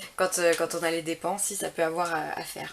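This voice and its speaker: A woman talks at a fairly quick pace. There is noticeable background noise. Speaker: tarot reader. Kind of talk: tarot reading guidance. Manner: halting, many hesitations.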